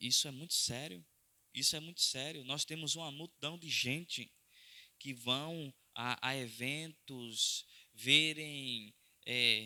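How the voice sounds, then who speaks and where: This man speaks at a very slow pace with fairly even intonation. His tone is bright and sharp. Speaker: pastor preaching a sermon. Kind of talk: sermon / Bible study teaching.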